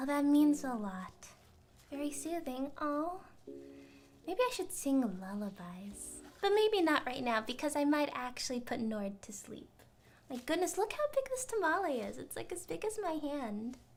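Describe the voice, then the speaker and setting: A soft-spoken woman talks at a moderate pace in a high voice. Her pitch swings very widely. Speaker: cooking vtuber streamer. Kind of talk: casual live stream chat while cooking. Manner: clear enunciation.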